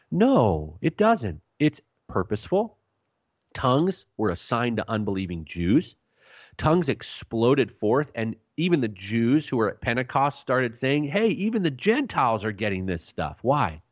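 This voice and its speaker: A man at medium pitch and moderate pace, with very wide pitch swings. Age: 30s. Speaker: pastor and author. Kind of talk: radio interview. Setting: radio program.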